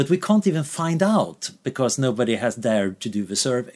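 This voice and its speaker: A man with a Swedish accent and lively intonation, on a very clean recording with a silent background. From Sweden. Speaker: researcher. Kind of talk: interview.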